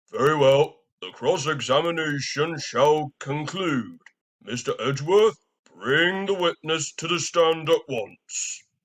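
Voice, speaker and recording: A man puts on a character voice pitched fairly high. He goes at a fairly slow pace with ordinary pitch variation. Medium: machinima.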